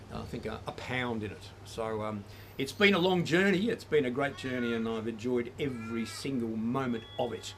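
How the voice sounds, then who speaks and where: A man with an Australian accent speaks amid noticeable background noise and audible room echo. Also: medium pitch for a man, ordinary pitch variation, moderate pace. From Australia, Melbourne. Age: 70s. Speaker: musician and community radio presenter. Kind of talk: interview. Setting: at home.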